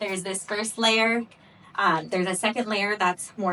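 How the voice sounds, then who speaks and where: Against noticeable background noise, a woman speaks at a moderate pace. Her pitch is medium, with ordinary variation. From US Pacific Northwest, Seattle. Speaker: pelvic floor physical therapist. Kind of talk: workshop lecture. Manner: casual, conversational.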